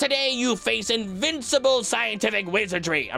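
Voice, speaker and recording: A female-sounding put-on character voice, fairly high for a woman, moves at a moderate pace over music in the background. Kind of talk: theatrical. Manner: triumphant, boastful.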